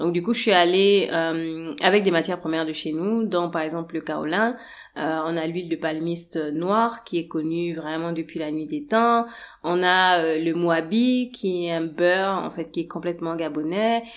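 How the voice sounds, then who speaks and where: A woman speaks in a plain, everyday voice with ordinary pitch variation at a fairly slow pace. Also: fairly low pitch for a woman. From Gabon. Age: 30s. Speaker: massage therapist and cosmetics entrepreneur. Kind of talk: interview.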